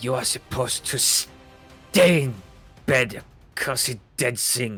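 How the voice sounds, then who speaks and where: Over faint music in the background, a man does a put-on character voice at a medium pitch and a fairly slow pace. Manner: growling.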